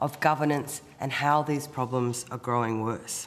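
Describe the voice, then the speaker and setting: Noticeable background noise runs under this recording. A woman with an Australian accent speaks at a fairly slow pace. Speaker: trade union president. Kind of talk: formal testimony.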